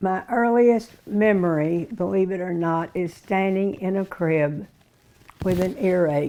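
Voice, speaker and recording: A woman with an Arkansas accent, fairly low in pitch, with a dark, mellow tone, ordinary pitch variation and a fairly slow pace. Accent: Southern US (Arkansas). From US South, Little Rock, Arkansas. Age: 90s. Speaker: interviewee recalling her life. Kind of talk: oral history interview. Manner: halting.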